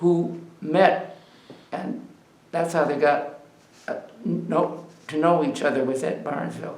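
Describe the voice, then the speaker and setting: A man with an American accent speaks fairly slowly with long, frequent pauses and ordinary pitch variation, amid audible room echo and noticeable background noise. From Ohio, US Midwest. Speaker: oral history interviewee. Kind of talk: oral history interview. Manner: halting.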